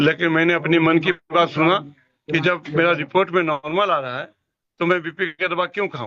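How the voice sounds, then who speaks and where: Speaking at a moderate pace, a man keeps a high pitch and fairly even intonation. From Jharkhand, India. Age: 70s. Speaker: customer giving testimonial. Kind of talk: testimony. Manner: halting.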